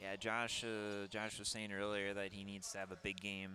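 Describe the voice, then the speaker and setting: In a Minnesota accent, a man with a fairly low pitch talks at a moderate pace, his bright, sharp tone held in a flat monotone. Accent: Minnesota, Midwestern. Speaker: sports color commentator. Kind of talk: live commentary. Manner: casual, hesitant with fillers.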